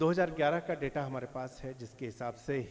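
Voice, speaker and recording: The man's voice is fairly high in pitch, with ordinary pitch variation. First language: Maithili (speaking Hindi). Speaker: lecturer / speaker. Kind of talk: lecture. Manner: halting, with filler pauses.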